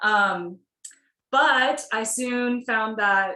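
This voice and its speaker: With an American accent, a woman talks in an ordinary speaking voice, fairly high in pitch with ordinary pitch variation. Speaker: yoga teacher. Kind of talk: casual chat.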